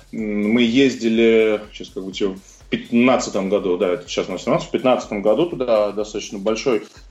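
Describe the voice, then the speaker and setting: The speaker has an unremarkable speaking voice and talks at a moderate pace. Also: man. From Russia, Moscow. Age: 30s. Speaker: CrossFit coach and athlete. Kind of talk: interview.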